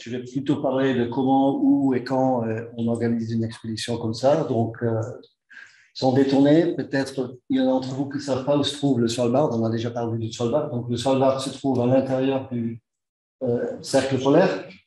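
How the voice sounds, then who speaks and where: A man with a Dutch accent speaks at a medium pitch and a moderate pace, his tone dark and mellow. His intonation is monotone and flat, with audible room echo. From Netherlands. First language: Dutch (speaking French). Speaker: engineer and expedition organizer. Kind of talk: conference talk. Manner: halting.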